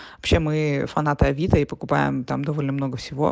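A woman talks at a moderate pace in a very deep, low pitch. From Russia. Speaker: podcaster. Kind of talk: audio diary. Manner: casual with fillers.

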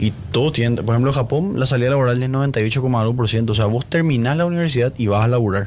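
A man's medium-pitched voice at a very fast pace, with hardly any pauses, very even loudness and ordinary pitch variation. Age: 20s. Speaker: podcast guest discussing films and philosophy. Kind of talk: casual chat.

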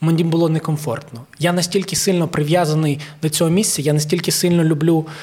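This man speaks at a high pitch. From Ukraine. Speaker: comedian, leader of a comedy troupe. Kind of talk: casual chat.

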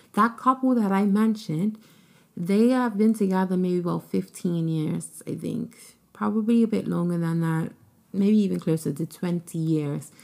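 On a very clean recording with a silent background, a woman with a plain, everyday voice speaks at a moderate pace, medium pitch and ordinary pitch variation. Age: 30s. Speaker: podcast host and relationship content creator. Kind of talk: solo advice monologue. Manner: casual, with frequent filler words.

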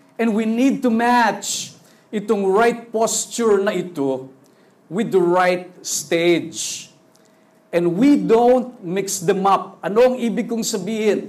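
There is audible room echo around a man with a high pitch. He speaks at a very slow pace with ordinary pitch variation. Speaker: pastor. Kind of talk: sermon. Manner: animated. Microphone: sound problems, switched to handheld mic.

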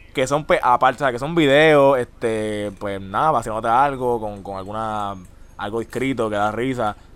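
In a Puerto Rican accent, a man of medium pitch talks at a moderate pace with ordinary pitch variation. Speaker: podcast host. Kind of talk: casual chat. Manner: animated.

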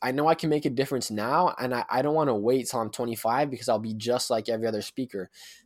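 A man with an unremarkable speaking voice talks at a fairly quick pace and medium pitch. His intonation is lively, and the recording is very clean with a silent background. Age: 20s. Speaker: professional youth speaker. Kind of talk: casual interview conversation.

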